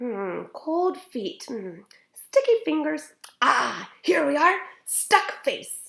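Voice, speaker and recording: In a high-pitched put-on character voice, a woman speaks at a very slow pace with big swings in loudness. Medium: read story. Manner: calm, soothing, clinical.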